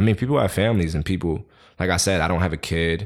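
A man talks at a very fast pace with fairly even intonation. The recording is very clean, with a silent background. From Queens, New York. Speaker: hip-hop artist. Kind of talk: casual interview.

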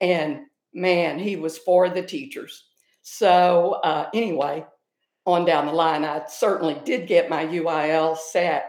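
Speaking very slowly with a Texan accent, a woman keeps a fairly low pitch and ordinary pitch variation. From North Texas. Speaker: retired high school theater director. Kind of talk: casual chat.

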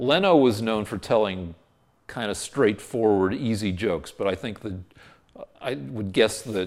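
In a very clean recording with a silent background, a man with a fairly low pitch talks at a moderate pace in a plain, everyday voice. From US West (Boulder, Colorado). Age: 60s. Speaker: TV comedy writer. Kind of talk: casual interview.

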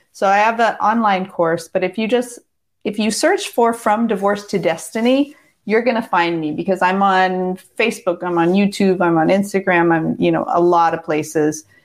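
A woman with a West Coast accent speaks at a moderate pace and medium pitch, with very even loudness and ordinary pitch variation. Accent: American West Coast. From US Pacific Northwest, Seattle. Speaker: divorce coach. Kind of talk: casual interview. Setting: video call.

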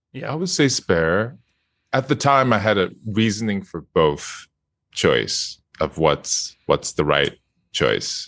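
A man talks at a very slow pace, his pitch fairly low and touched with vocal fry. His pitch swings very wide. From Japan. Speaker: video game voice actor. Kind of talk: casual interview. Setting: video call. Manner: halting.

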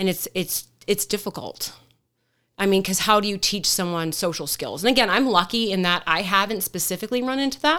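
In a very clean recording with a silent background, a plain, everyday voice moves at a fairly quick pace. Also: woman, medium pitch for a woman, ordinary pitch variation. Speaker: police deputy. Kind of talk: casual chat. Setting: studio.

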